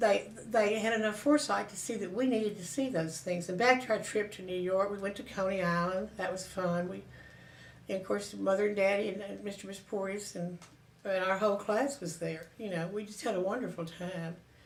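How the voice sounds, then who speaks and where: With a Southern US accent, a woman talks at a fairly quick pace amid audible room echo. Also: medium pitch for a woman, ordinary pitch variation, big swings in loudness. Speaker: interviewee recounting family history. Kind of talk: oral history reminiscence. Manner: halting, with fillers and self-corrections.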